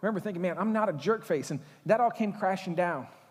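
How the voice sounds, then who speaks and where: A man talks at a very fast pace in a high pitch. His tone is animated. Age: 40s. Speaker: pastor. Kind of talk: sermon.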